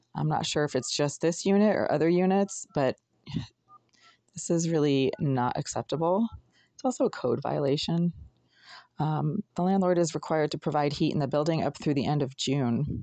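Against a quiet background, a woman with a very deep, low pitch speaks at a moderate pace with ordinary pitch variation. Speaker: tenant vlogger. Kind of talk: casual vlog monologue.

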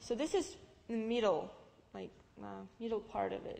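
Here a woman speaks at a moderate pace in a Russian accent. Her pitch is fairly high and her tone dark and mellow. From Russia, Novosibirsk (Siberia). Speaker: immigrant giving testimony; guest. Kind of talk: testimony with slide presentation. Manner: halting, many fillers. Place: church. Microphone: headset.

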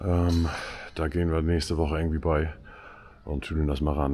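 A man's very deep, low voice at a fairly quick pace, with fairly even intonation. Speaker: farmer vlogger. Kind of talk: casual vlog chat. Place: farm machine. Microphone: phone near.

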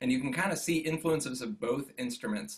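An unremarkable speaking voice, a man with an American accent, fairly quick in pace and lively in intonation. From Western New York (Jamestown); New York. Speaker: orchestral double bassist. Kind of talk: interview. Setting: video call from home studio.

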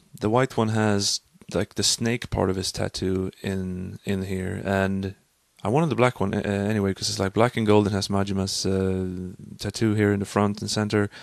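A man speaks with a Swedish accent at a fairly low pitch. The sound is dry with no echo, and the background is quiet. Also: fairly even intonation, moderate pace. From Sweden. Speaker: vlogger and language student. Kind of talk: casual vlog monologue. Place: home room. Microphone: studio mic.

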